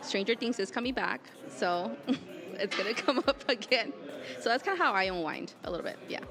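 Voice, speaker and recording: A woman with an American accent, fairly quick and lively in intonation, medium in pitch with a bright, sharp tone, amid crowd noise in the background and audible room echo. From Southern California, El Monte. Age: 20s. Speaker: gym member. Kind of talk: interview. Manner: animated.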